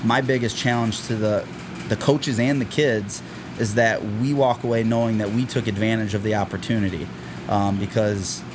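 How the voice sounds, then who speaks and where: Over noticeable background noise, a man talks at a moderate pace. His pitch is medium and his intonation fairly even. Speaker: high school football head coach. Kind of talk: interview. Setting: school athletic facility. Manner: loud.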